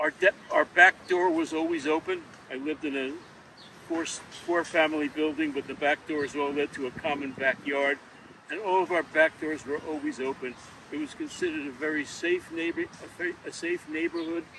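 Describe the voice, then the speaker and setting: Noticeable background noise sits behind a man with a New York accent who talks at a moderate pace, his fairly high pitch held in fairly even intonation. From New York City, Queens. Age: 70s. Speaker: local historian. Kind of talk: interview. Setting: outdoors. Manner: halting.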